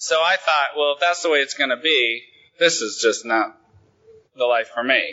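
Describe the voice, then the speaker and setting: With an American accent, a man uses an ordinary speaking voice, talking at a fairly quick pace with a fairly high pitch. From Oregon, Willamette Valley. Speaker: main speaker at recovery conference. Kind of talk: recovery testimony talk.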